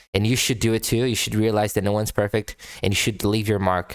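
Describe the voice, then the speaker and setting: A man with a non-native accent speaks very fast in a fairly low pitch, on a very clean recording with a silent background. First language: not English. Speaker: music reaction youtuber. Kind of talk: casual commentary. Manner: halting, many repetitions.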